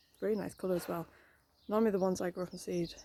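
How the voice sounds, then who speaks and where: A woman speaks very fast in a fairly low voice with a dark, mellow tone. Her intonation stays fairly even. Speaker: gardening vlogger. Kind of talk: casual garden tour vlog. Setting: outdoors in garden and greenhouse. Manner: quiet.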